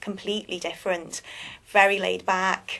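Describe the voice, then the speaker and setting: Her delivery moves at a moderate pace. This woman is captured in a very clean recording with a silent background. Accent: Liverpool. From England, Liverpool. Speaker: magazine publisher, business owner. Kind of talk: interview. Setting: live web TV studio. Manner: halting.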